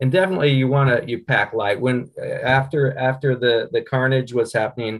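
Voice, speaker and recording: With ordinary pitch variation, a man talks somewhat breathily at a moderate pace. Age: 60s. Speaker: paramotor pilot in an adventure race. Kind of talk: casual panel chat.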